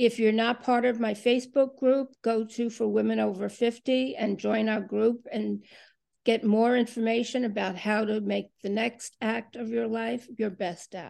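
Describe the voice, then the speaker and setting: A woman's fairly high-pitched voice, dark and mellow in tone, with fairly even intonation at a fairly slow pace. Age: 60s. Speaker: podcast host. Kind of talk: interview.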